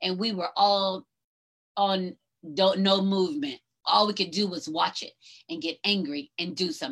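In an American accent, a woman speaks. Her pitch sits at a medium level. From US South, North Georgia. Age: 50s. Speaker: podcast host. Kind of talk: solo livestream monologue. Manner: animated.

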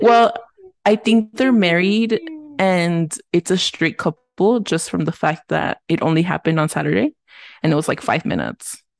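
Lively in intonation, a woman speaks at a moderate pace and medium pitch, the sound dry and close with no echo. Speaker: podcast co-host. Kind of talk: casual chat. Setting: at home alone. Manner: loud.

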